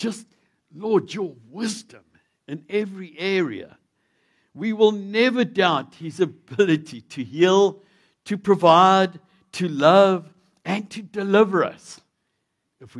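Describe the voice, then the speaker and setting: This man has a South African accent and a high pitch, speaking at a fairly slow pace. The recording is very clean, with a silent background. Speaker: visiting preacher. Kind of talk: sermon. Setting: church.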